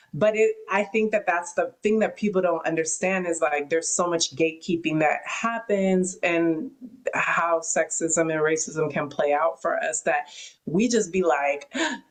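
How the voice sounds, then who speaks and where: Against noticeable background noise, a woman with an American accent speaks at a fairly slow pace and a fairly low pitch. Her loudness stays very even, with ordinary pitch variation. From US West Coast. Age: 30s. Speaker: podcast host and rapper. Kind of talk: interview conversation. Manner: animated.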